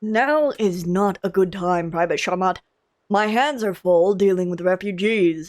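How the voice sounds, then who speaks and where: A woman's gruff, put-on character voice at a medium pitch and moderate pace. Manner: gruff, harried.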